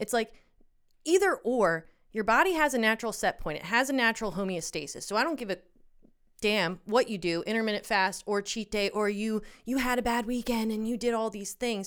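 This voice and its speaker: A woman with an American accent speaks in a plain, everyday voice at a fairly high pitch and fairly quick pace, with ordinary pitch variation, in a very clean recording with a silent background. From Pennsylvania, US. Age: 30s. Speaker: guest sharing eating disorder story. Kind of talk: personal testimony in casual chat.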